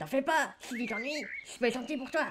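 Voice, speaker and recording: A female-sounding, high-pitched, put-on character voice speaks at a fairly quick pace. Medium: audio drama.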